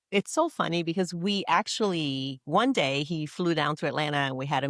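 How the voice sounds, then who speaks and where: A woman with a Nigerian accent and a very deep, low pitch, in a very clean recording with a silent background and a dry, close sound with no echo. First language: not English. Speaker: dentist. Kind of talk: casual chat. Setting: live event recording.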